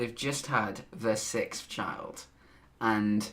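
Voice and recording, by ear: A man speaks at a slow pace. His tone is bright and sharp.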